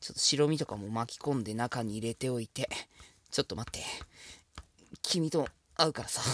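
With long, frequent pauses, a man of medium pitch talks at a fairly quick pace and with ordinary pitch variation, the sound dry and close with no echo. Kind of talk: ASMR-style cooking tutorial, intimate flirty patter to the viewer. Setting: solo home cooking video, close-mic ASMR. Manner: casual and chatty, stumbling and self-correcting as he cooks one-handed.

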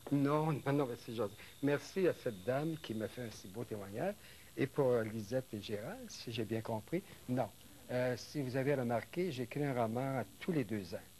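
Over light background noise, a man's dark, mellow tone moves at a fairly slow pace with ordinary pitch variation. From Quebec. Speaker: novelist; guest. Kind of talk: interview. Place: studio.

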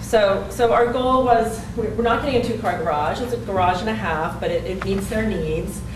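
A woman talks at a moderate pace with hardly any pauses, her voice carrying audible room echo amid noticeable background noise. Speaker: architectural designer. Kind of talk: public meeting presentation. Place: meeting room. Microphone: camera far.

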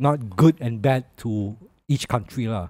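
A man with a Malaysian accent, dark and mellow in tone, with lively intonation at a fairly slow pace, in a dry sound with no echo and a quiet background. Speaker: podcast co-host. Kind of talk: casual chat. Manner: animated. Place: studio. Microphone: studio mic.

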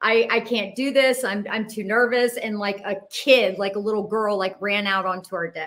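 Speaking at a fairly slow pace, the woman keeps her intonation fairly even. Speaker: interview guest. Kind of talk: interview answer. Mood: emotional, intense personal story. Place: home room. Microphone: headset.

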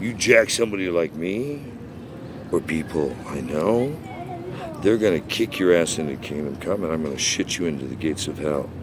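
A man with a very deep, low voice talks at a moderate pace with lively intonation. The sound is dry with no echo, and background noise is noticeable. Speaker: voice actor. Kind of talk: angry rant to camera. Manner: angry, aggressive. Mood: angry, confrontational. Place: street. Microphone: phone near.

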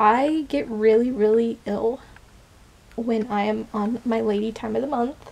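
Her pace is fairly slow, and this woman's pitch varies in an ordinary way. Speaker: vlogger. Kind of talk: casual vlog chat. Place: home room. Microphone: phone near.

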